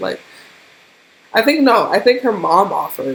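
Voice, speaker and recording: Noticeable background noise sits behind a woman with an animated tone. She speaks at a moderate pace with lively intonation. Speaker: YouTuber. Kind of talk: storytime vlog.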